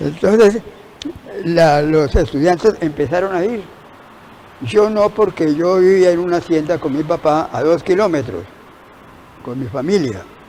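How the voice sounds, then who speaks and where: A man's high, lively voice with long, frequent pauses and noticeable background noise. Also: fairly slow pace. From Colombia. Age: 80s+. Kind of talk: interview answer.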